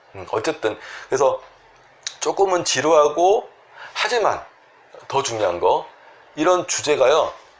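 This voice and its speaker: There is noticeable background noise as a man talks at a fairly slow pace, with big swings in loudness and long, frequent pauses. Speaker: Korean medicine doctor treating sleep disorders. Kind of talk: health advice talk to camera.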